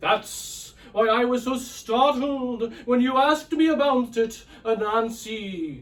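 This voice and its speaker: In a put-on character voice, the speaker moves at a fairly slow pace with hardly any pauses. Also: man, extremely high pitch for a man. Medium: read story. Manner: halting, hesitant, full of pauses.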